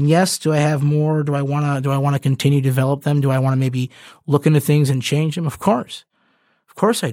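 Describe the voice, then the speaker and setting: Delivered at a very fast pace with a Midwestern American accent, the voice has a dark, mellow tone and fairly even intonation on a very clean recording with a silent background. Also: man, fairly high pitch for a man. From suburban Michigan. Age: 20s. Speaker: podcast host. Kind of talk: solo monologue. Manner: halting, many fillers.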